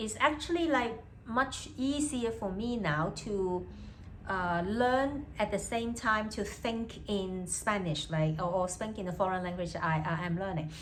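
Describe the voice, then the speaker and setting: Speaking at a fairly slow pace, a woman with a Cantonese accent has a medium pitch and lively intonation. Noticeable background noise and audible room echo surround her. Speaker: language student and vlogger. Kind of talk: casual vlog monologue, bilingual. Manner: hesitant, many fillers and repetitions.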